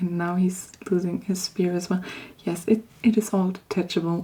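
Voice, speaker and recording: Very slow and soft-spoken, the voice takes its time. Noticeable background noise runs underneath. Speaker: polymer clay hobbyist / ASMR creator. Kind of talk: ASMR show and tell, casual talk to camera.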